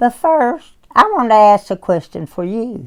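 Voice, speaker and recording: A woman's voice with very wide pitch swings at a moderate pace. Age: 80s+. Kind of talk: reading a written personal testimony.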